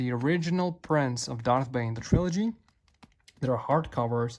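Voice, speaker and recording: Heard in a very clean recording with a silent background, a man speaks at a moderate pace. His voice is somewhat breathy, with a medium pitch and ordinary pitch variation. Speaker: author and book collector video creator. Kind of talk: casual collection review. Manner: hesitant with fillers.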